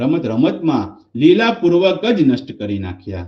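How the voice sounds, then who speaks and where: Pitched fairly high, a man's voice makes very wide pitch swings. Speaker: business financial coach. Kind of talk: Gujarati translation reading. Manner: devotional, reverent.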